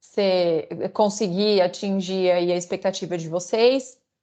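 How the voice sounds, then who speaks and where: Against a quiet background, a woman speaks at a medium pitch with a dark, mellow tone and fairly even intonation. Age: 30s. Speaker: corporate lawyer. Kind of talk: online lecture. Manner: halting, many fillers.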